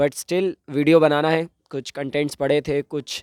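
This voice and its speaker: A man's fairly high voice has a dark, mellow tone and monotone, flat intonation, heard in a dry, close sound with no echo. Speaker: YouTuber and event anchor. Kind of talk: casual explainer vlog. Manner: hesitant fillers.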